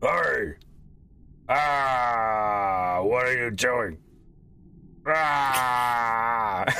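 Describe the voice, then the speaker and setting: A man shouts in a gruff, put-on character voice at a medium pitch. Clear background noise can be heard. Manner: shouting.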